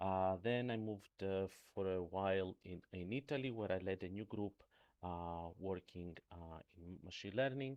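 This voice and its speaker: With a Greek accent, a man speaks at a moderate pace in a very deep, low pitch with ordinary pitch variation. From Greece. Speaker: professor. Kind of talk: lecture. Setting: remote talk. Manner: halting, many fillers.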